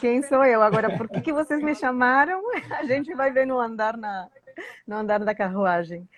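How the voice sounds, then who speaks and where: A woman talks at a moderate pace, her pitch moving in an ordinary way. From Uruguay, Montevideo. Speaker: Spanish teacher. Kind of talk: live stream interview.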